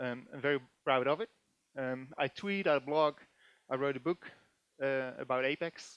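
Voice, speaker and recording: With ordinary pitch variation and long, frequent pauses, a man talks at a moderate pace in a dry, close sound with no echo. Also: fairly high pitch for a man. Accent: Dutch. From Netherlands. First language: Dutch. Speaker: database developer and conference speaker. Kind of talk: technical conference talk. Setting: stage with audience. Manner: animated; hesitant, many filler sounds.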